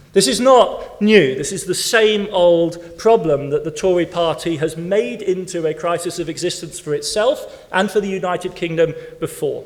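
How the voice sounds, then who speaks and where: A high-pitched man talks at a moderate pace with hardly any pauses. Noticeable background noise and audible room echo fill the recording. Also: ordinary pitch variation. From West Germany (English-born). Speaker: historian, keynote speaker. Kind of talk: conference Q&A answer. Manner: animated, halting with repetitions.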